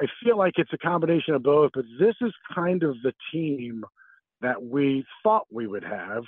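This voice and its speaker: An unremarkable speaking voice delivers the words at a moderate pace. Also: man. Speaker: play-by-play broadcaster. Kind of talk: radio interview.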